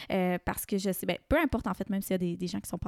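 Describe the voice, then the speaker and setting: A woman talks at a very fast pace with fairly even intonation, the sound dry and close with no echo. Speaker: podcast host and yoga teacher. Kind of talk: casual interview chat.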